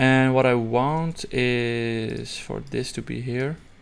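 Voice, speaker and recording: Fairly even intonation marks a man speaking with a non-native accent. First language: not English. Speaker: software tutorial creator. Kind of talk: tutorial. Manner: halting, many fillers and restarts; casual.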